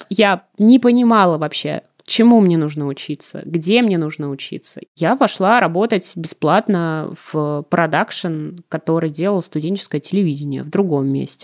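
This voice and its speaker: An unremarkable speaking voice with lively intonation at a fairly slow pace. The sound is dry and close, with no echo. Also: woman, fairly low pitch for a woman. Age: 20s. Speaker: TV editor. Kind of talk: casual chat.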